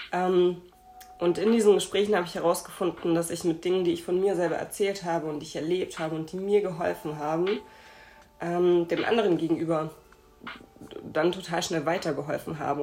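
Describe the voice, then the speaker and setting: Noticeable background noise sits behind a woman with a fairly low pitch. She talks at a fairly quick pace with fairly even intonation. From Hamburg, northern Germany. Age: 20s. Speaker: podcast host and speech therapist. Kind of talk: casual interview.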